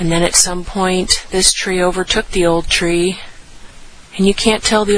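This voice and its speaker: A soft-spoken woman talks at a moderate pace and a medium pitch. Her intonation stays flat and monotone against noticeable background noise. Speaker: nature narrator on a hike. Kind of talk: impromptu outdoor monologue. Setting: outdoors in rainforest. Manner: quiet, reverent.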